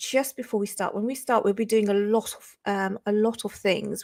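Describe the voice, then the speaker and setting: With a British accent, a woman speaks at a moderate pace and a fairly high pitch in a very clean recording with a silent background and a dry, close sound with no echo. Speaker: crypto livestreamer. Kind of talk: livestream chat. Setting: livestream. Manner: casual, many filler ums.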